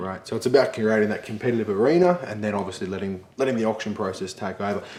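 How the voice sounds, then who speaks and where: A man talks at a very fast pace in a fairly low voice with ordinary pitch variation. Noticeable background noise is present. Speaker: real estate agent host interviewing guest. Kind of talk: interview question.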